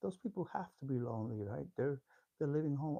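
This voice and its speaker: A man's medium-pitched, somewhat breathy voice, dark and mellow in tone, with lively intonation and a dry, close sound with no echo. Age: 60s. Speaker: YouTuber hosting a live discussion. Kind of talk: livestream monologue. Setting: YouTube live stream. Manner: halting, with many fillers and repeated words.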